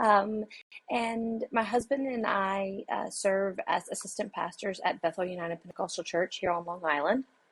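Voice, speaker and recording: A woman with a Louisiana accent, medium in pitch, at a moderate pace with ordinary pitch variation. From southwest Louisiana. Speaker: associate pastor and university administrator. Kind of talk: podcast interview.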